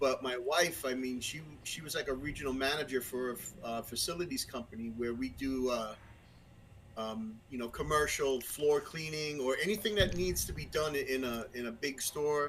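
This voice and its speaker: A man speaks with a Brooklyn accent at a moderate pace. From Brooklyn, New York. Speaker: musician and podcast guest. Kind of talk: casual chat. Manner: halting, many fillers and restarts.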